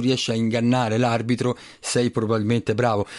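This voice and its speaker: A man's normal speaking voice, medium in pitch and fairly quick in pace. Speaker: sports club president. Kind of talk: radio interview.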